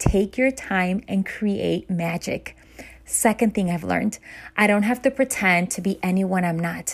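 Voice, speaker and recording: A woman's ordinary speaking voice, medium-pitched, at a fairly slow pace with ordinary pitch variation, on a very clean recording against a silent background. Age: 40s. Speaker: motivational podcast host. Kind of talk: inspirational monologue.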